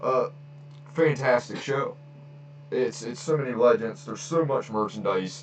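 Man with a fairly high pitch and ordinary pitch variation, long, frequent pauses, noticeable background noise. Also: moderate pace. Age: 30s. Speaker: wrestling podcaster. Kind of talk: casual solo podcast. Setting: home recording, on camera. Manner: casual, filler-heavy.

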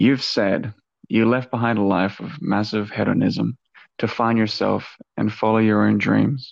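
An ordinary speaking voice from a man, medium in pitch and fairly slow in pace. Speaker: podcast host. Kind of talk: interview questions.

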